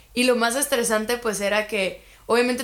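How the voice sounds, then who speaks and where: A woman is speaking. She has a Guatemalan accent. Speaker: university student. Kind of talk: casual chat.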